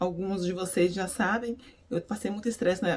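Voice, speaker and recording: A woman with a medium pitch talks as noticeable background noise carries behind her. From Brazil, Minas Gerais. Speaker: beautician and faith vlogger. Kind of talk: devotional vlog talk. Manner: animated, energetic.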